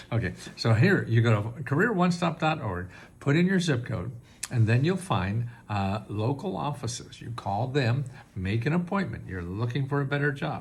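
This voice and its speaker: A somewhat breathy man's voice at medium pitch, with very wide pitch swings and audible room echo. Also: moderate pace. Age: 80s+. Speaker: government benefits advisor. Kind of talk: tutorial. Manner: halting.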